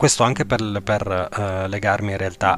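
A man with a fairly low voice talks at a fairly slow speed. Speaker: podcast host, esoteric teacher. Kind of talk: lecture. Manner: halting, many filler sounds.

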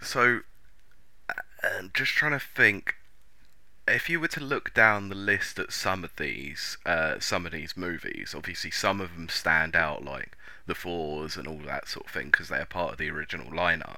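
This man talks with an English accent, and his loudness swings widely. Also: moderate pace. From England. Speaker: podcast host. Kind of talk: casual chat.

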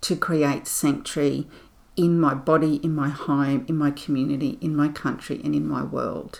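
Her pitch is very deep and low for a woman. She talks at a fairly slow pace. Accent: Australian. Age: 50s. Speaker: spiritual podcast host. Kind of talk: reflective solo monologue. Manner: gentle, soothing.

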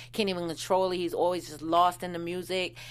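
A woman with an American accent and a normal speaking voice speaks at a medium pitch and a fairly quick pace. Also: very clean recording, silent background. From Washington DC. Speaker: TV recap podcast co-host. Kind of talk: casual chat; audience appeal. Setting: studio.

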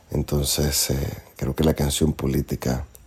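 A man speaks with a very deep, low pitch and monotone, flat intonation. Noticeable background noise runs underneath. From Nicaragua. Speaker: singer-songwriter. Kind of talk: interview. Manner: halting, with many fillers.

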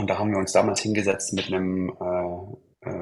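This man talks in a fairly low pitch with a somewhat breathy quality. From Leipzig, eastern Germany. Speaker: roller-skate acrobat, podcast co-host. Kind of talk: casual chat.

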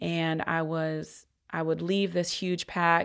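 In a very clean recording with a silent background, a woman with an American accent speaks in a fairly low, monotone, flat voice. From US Midwest, Columbus, Ohio. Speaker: electoral organizer. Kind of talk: podcast interview.

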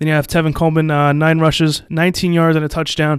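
With an American accent, the voice rushes along at a very fast pace. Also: man. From New Jersey. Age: 20s. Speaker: football podcast host. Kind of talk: solo sports podcast commentary. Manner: hesitant, many fillers (um, uh).

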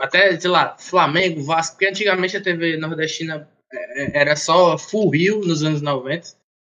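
A man's fairly high voice holds a fairly even intonation. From Brazil, Fortaleza (Ceará). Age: 20s. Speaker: computer science student. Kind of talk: casual chat.

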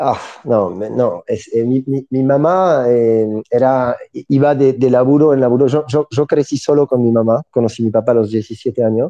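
This speaker has a French accent and a fairly slow pace. Intonation stays fairly even and loudness very even. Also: man, medium pitch for a man, hardly any pauses. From southern France, near Montpellier. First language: French (speaking Spanish). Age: 30s. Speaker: entrepreneur. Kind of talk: interview.

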